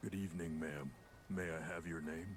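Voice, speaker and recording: Doing a put-on character voice, a man speaks at a very deep, low pitch and a fairly quick pace over clear background noise. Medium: video game. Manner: hesitant.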